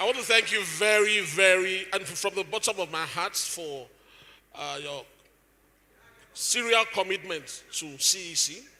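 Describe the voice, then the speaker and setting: A man's raised, projected voice, high in pitch and bright, sharp in tone, at a fairly slow pace with long, frequent pauses. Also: ordinary pitch variation. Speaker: event host. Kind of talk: event hosting.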